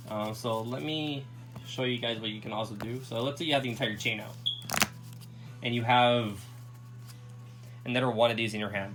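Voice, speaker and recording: Music plays behind a man whose medium-pitched voice moves at a fairly quick pace, broken by long, frequent pauses. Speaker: card game deck reviewer. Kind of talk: casual talk to camera.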